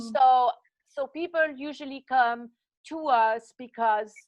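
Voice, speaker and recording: Her high voice carries lively intonation as a woman speaks with a Swiss French accent, the sound dry and close with no echo against a quiet background. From French-speaking Switzerland. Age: 60s. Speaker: fitness coach. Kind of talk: interview.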